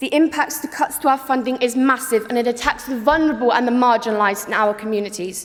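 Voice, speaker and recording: A woman's fairly high pitch with ordinary variation at a fairly quick pace, plus noticeable background noise. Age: young. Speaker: conference delegate. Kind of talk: political speech.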